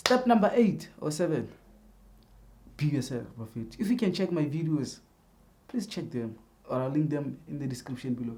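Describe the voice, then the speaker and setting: At a fairly quick pace, a man with a South African accent speaks in a dark, mellow tone with very wide pitch swings. Audible room echo surrounds the voice. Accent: South African non-native English. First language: a South African language other than English. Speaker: YouTuber. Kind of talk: tutorial. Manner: casual, repetitive, halting.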